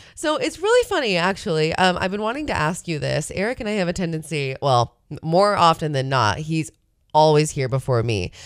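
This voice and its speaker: In a plain, everyday voice, a woman talks at a fairly quick pace with a fairly low pitch and lively intonation, on a very clean recording with a silent background. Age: 30s. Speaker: radio host. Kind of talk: casual chat. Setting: studio.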